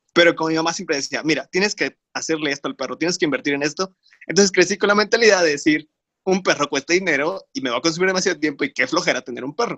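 In a Mexican accent, the speaker races along at a very fast pace with a bright, sharp tone and ordinary pitch variation, the sound dry and close with no echo. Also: man, fairly high pitch for a man. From Mexico, Tlaxcala. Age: 20s. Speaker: industrial engineer and podcast co-host. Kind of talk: casual chat about faith.

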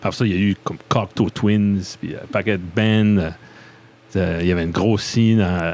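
This man's voice sits at a fairly low pitch and moves at a fairly slow pace. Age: 30s. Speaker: podcast host. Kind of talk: casual interview chat. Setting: basement studio. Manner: animated.

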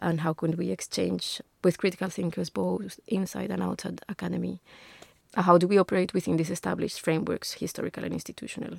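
Someone with a Spanish accent speaks at a very fast pace on a very clean recording with a silent background and a dry, close sound with no echo. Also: woman. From Colombia, Bogota. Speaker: architecture lecturer. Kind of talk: interview. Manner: hesitant, many fillers.

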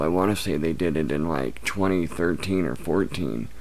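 A man's voice with audible room echo. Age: 30s. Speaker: YouTuber on addiction recovery. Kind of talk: casual chat.

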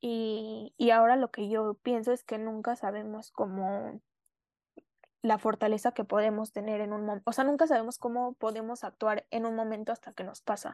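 A woman talks at a moderate pace with a fairly high pitch and monotone, flat intonation. The sound is dry and close with no echo, over a quiet background. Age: 20s. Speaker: student, accident survivor. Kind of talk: interview testimony. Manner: halting, many fillers.

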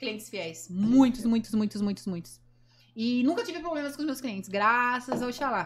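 Noticeable background noise sits behind a woman speaking at a moderate pace. Her voice is fairly high with lively intonation. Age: 20s. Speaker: adult film actress and influencer. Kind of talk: casual chat.

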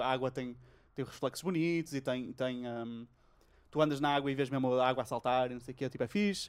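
Recorded very cleanly against a silent background, a man with a European Portuguese accent talks at a fairly quick pace, his fairly high pitch moving with ordinary variation. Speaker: podcast host. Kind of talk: casual chat. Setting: home recording during lockdown.

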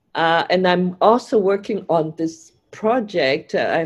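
Here a woman speaks at a fairly slow pace. Her pitch is fairly low. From Hong Kong, later Canada. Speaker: film director. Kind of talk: interview. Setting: video call. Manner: halting.

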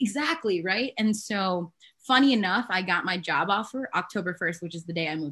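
A woman speaks at a fairly quick pace. Her tone is bright and sharp, with lively intonation. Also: medium pitch for a woman, big swings in loudness. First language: not English. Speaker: healthcare project manager. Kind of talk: casual chat.

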